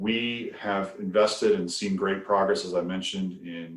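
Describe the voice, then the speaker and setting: This man speaks at a moderate pace, his fairly low voice showing ordinary pitch variation. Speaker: utility company director. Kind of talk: podcast interview.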